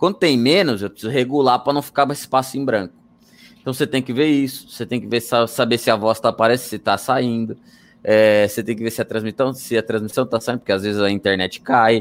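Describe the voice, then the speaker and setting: On a very clean recording with a silent background, the speaker goes at a fairly quick pace with ordinary pitch variation. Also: man. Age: 40s. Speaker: motorsport commentator. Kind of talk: casual chat. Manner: loud.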